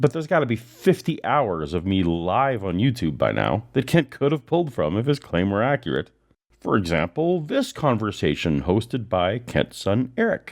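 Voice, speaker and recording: A man's medium-pitched voice with vocal fry and very wide pitch swings, at a moderate pace over a quiet background. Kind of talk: scripted narration.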